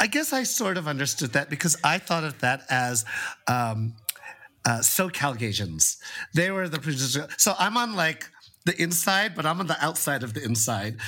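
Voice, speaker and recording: A man talks loudly at a moderate pace. His fairly high voice moves through very wide pitch swings. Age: 40s. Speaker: podcast co-host. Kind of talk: casual chat. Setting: Airbnb in Mexico City, separate rooms.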